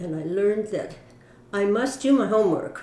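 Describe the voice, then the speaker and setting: With an American accent, the speaker has a dark, mellow tone, ordinary pitch variation and a moderate pace, with audible room echo. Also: woman. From US West Coast, Mountain View, California. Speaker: church member. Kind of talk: interview.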